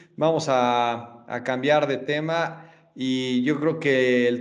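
A man speaks with fairly even intonation. Noticeable background noise runs underneath. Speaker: podcast host. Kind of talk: casual chat. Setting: studio.

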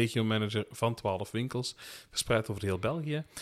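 A man's normal speaking voice at medium pitch, fairly slow, in a very clean recording with a silent background. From Belgian Limburg. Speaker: podcast co-host, retail sales professional. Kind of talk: casual chat. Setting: home attic recording.

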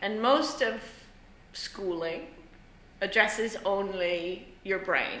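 A woman talks at medium pitch and a very slow pace, with long, frequent pauses. Her pitch varies in an ordinary way over noticeable background noise. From Ireland. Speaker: theatre professor and lighting designer. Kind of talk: interview on a student podcast. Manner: casual, conversational with fillers.

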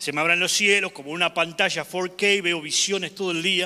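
A man with a high pitch and a bright, sharp tone talks at a moderate pace. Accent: Argentine. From Argentina. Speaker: evangelist preacher. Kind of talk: sermon. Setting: church. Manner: animated.

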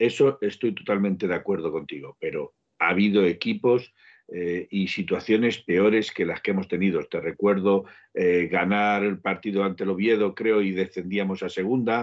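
A man speaks at a fairly low pitch and a moderate pace. He has an ordinary speaking voice with fairly even intonation. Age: 50s. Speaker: football podcast co-host. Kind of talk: casual chat.

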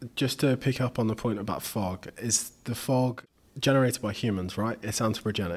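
In an unremarkable speaking voice, the speaker goes at a moderate pace with fairly even intonation. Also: man, medium pitch for a man. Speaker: podcast host. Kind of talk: interview.

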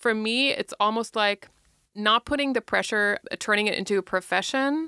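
Here a woman speaks at medium pitch and a fairly quick pace, her tone bright and sharp. The recording is very clean with a silent background, and the sound is dry and close with no echo. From Germany. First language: German. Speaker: stand-up comedian. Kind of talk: casual interview. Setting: podcast studio.

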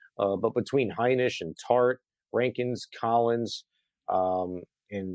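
A man's medium-pitched voice at a fairly slow pace, dry and close with no echo, over a quiet background. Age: 40s. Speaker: sports radio host. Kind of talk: casual sports talk postgame show. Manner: animated.

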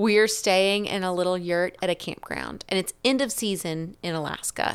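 A woman of medium pitch talks with fairly even intonation in an unremarkable speaking voice, on a very clean recording with a silent background. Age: 30s. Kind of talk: casual chat.

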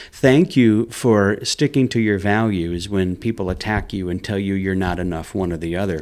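A plain, everyday voice moves at a moderate pace with ordinary pitch variation and hardly any pauses. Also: man, fairly low pitch for a man. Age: 50s. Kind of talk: casual interview chat. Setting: studio.

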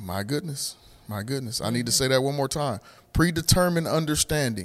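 On a very clean recording with a silent background, a man with medium pitch sounds animated, his pitch varying in an ordinary way. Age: 40s. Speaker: podcast host and church member. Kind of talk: casual faith conversation.

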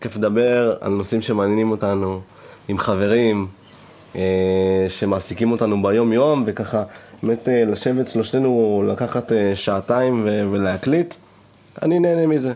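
A man speaks in an ordinary speaking voice, his pitch fairly low. His pace is moderate and his pitch variation ordinary. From northern Israel. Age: 20s. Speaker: party producer and podcast host. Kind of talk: casual chat. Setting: studio.

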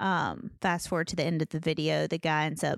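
A woman with a very deep, low pitch and vocal fry talks at a fairly quick pace. The recording is very clean, with a silent background. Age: 30s. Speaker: podcast co-host. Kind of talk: casual chat.

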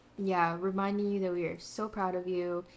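A woman with a medium-pitched voice speaks at a moderate pace. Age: 20s. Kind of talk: casual chat. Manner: animated.

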